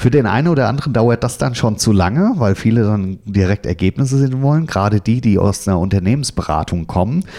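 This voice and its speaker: The speech moves at a fairly quick pace, with a dark, mellow tone and ordinary pitch variation. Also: man. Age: 40s. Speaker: customer operations manager and lecturer. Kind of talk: career interview.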